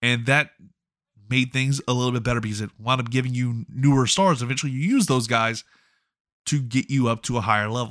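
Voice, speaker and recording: In an ordinary speaking voice, a man talks at a fairly quick pace and medium pitch, with a dry, close sound with no echo on a very clean recording over a silent background. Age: 30s. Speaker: pro wrestling podcast host. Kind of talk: solo podcast commentary.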